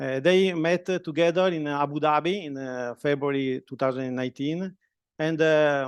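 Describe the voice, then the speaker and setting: The speaker talks with an Italian accent and fairly even intonation against a quiet background. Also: man. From Italy. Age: 50s. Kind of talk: talk to students. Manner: halting.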